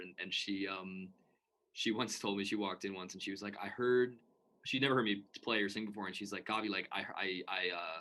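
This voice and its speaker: Talking at a very fast pace, a man with a fairly low pitch keeps his intonation fairly even in a bright, sharp tone. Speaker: musician. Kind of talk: casual chat. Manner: halting.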